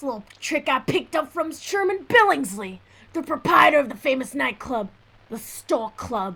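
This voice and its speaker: A woman performs a put-on character voice at a moderate pace. Her pitch is high with very wide swings. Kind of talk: 1940s radio acting. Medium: audio drama. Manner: smooth, showy.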